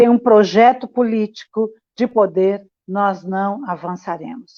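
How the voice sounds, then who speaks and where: A woman with a plain, everyday voice, a fairly high pitch and fairly even intonation. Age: 60s. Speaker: community activist. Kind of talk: panel discussion. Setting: livestream.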